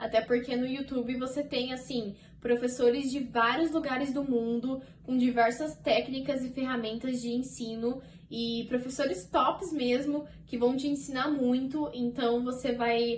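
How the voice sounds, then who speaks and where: A woman talks at a fairly slow pace in a high pitch. Her intonation stays fairly even. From Brazil. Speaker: au pair vlogger. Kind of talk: casual vlog talk to camera. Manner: chatty, conversational.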